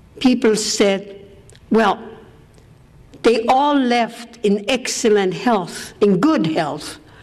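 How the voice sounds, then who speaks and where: A woman with a German accent speaks at a very slow pace and a fairly high pitch. Noticeable background noise runs behind her. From Austria. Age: 80s+. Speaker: war survivor speaker. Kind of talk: testimony.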